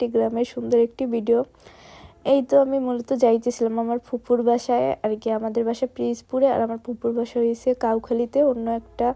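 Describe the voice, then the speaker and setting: A woman's high-pitched, monotone voice, flat in intonation, with a dry, close sound and no echo. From Bangladesh, Barisal region (Pirojpur). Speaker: vlogger. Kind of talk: casual vlog narration.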